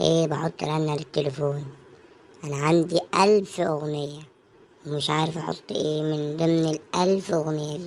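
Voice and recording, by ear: The speaker uses a cartoonish character voice at a middle pitch. The pace is fairly slow.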